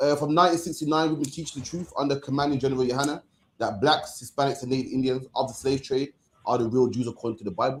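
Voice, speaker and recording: Speaking at a very fast pace, a man with a Birmingham accent sounds somewhat breathy, with a fairly high pitch and fairly even intonation. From England. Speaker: religious group leader. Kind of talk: panel discussion.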